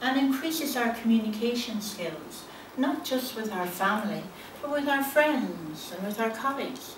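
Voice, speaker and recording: A woman speaks at a moderate pace with audible room echo. Light background noise is present. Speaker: life coach. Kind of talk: prepared speech. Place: hall. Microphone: camera far.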